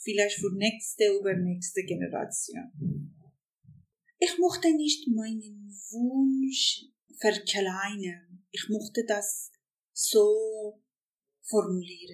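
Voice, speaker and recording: Speaking very slowly with a Persian accent, a woman has a fairly high, somewhat breathy voice. Her intonation is lively, and she takes long, frequent pauses. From Iran. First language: Persian (speaking German). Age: 50s. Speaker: journalist. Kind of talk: interview testimony.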